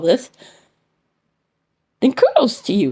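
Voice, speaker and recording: Loud and animated, a woman talks at a moderate pace with a high pitch. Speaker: vlogger and lay preacher. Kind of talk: impassioned vlog rant. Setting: at home.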